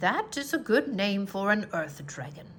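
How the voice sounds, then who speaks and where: Using a put-on character voice, a woman speaks at a moderate pace and a medium pitch. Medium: read story. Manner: calm, encouraging.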